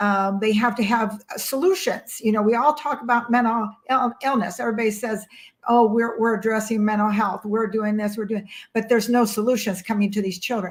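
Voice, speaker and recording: Her voice is somewhat breathy and fairly high for a woman. She talks at a fairly quick pace with fairly even intonation. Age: 60s. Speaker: mental health advocate and author. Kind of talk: interview conversation.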